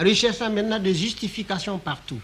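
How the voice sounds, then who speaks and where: This is a man speaking. His pitch is high. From Mali. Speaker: writer, diplomat, storyteller. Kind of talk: documentary interview answer. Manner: hesitant, conversational storytelling.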